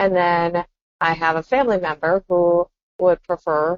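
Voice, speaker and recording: A woman with a plain, everyday voice speaks at a fairly slow pace, her fairly low pitch showing ordinary pitch variation. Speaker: podcast co-host. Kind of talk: casual chat.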